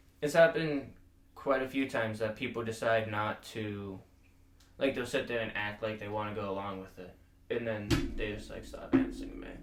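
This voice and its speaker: Music plays in the background as a man speaks at a moderate pace, with audible room echo. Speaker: podcast host. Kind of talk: casual chat.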